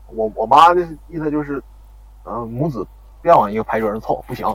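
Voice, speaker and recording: This man's voice sits fairly high in pitch. He talks at a very fast pace. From Heilongjiang, Harbin Hulan district. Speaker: university student storyteller. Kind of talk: storytelling. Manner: halting. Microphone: echo in places.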